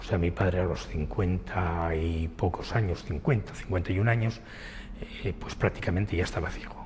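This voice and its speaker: A man with a very deep, low pitch and fairly even intonation at a moderate pace, over noticeable background noise. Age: 60s. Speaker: person living with retinitis pigmentosa. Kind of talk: documentary interview testimony.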